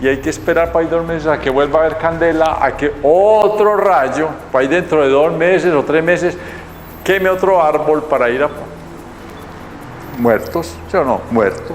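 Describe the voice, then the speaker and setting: Amid noticeable background noise and audible room echo, a man with a fairly high pitch speaks at a moderate pace with ordinary pitch variation and very even loudness, leaving long, frequent pauses. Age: 70s. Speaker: TV presenter and math educator. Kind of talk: educational TV talk. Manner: playful, joking.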